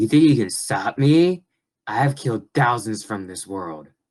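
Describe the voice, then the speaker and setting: A man's put-on character voice, gravelly and medium-pitched, at a moderate pace. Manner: menacing.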